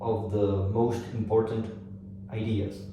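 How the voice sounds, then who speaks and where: At a very slow pace, a man speaks with a non-native accent, with audible room echo and noticeable background noise. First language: not English. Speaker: self-help speaker. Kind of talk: lecture. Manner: halting, self-correcting.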